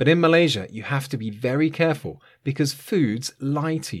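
A man with a British accent speaks at a moderate pace on a very clean recording with a silent background. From UK. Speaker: English teacher podcaster. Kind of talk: scripted educational monologue for learners. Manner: clear, measured pace for learners.

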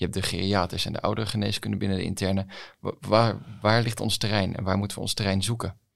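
Very fast pace from a man with a fairly low pitch and fairly even intonation. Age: young. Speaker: podcast host, young doctor. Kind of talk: podcast interview.

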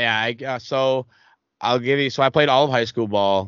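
With a strong Boston accent, a man talks at a fairly quick pace with ordinary pitch variation. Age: 20s. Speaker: gamer and streamer. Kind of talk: casual chat.

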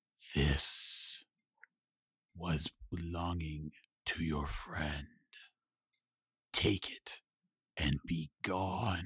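A man puts on a character voice with a very deep, low pitch. He talks at a very slow pace with long, frequent pauses. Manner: curt, cold, menacing.

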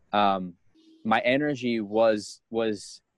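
This man has a plain, everyday voice at a medium pitch with fairly even intonation. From United States. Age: 30s. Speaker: guest sharing diet experience. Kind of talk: casual interview.

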